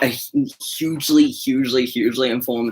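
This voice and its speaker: Here a man speaks with a New Zealand accent. His intonation is monotone and flat. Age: 20s. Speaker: activist guest. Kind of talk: casual chat. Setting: livestream.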